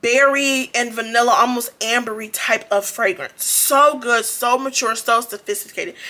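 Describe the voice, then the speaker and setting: Hardly pausing, a woman talks in a high pitch with ordinary pitch variation. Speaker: beauty and fragrance YouTuber. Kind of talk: product review vlog. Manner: casual, conversational; fast.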